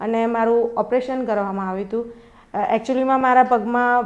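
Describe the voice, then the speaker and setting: A woman speaks at a fairly high pitch against a quiet background. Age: 20s. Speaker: patient. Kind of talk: testimonial. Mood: grateful, calm. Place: home room. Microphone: lapel.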